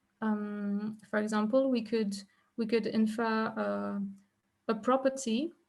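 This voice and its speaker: At a moderate pace, the speaker sounds somewhat breathy and keeps a fairly even intonation. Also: woman, very clean recording, silent background. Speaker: researcher presenting a talk. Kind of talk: academic lecture. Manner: halting, many fillers.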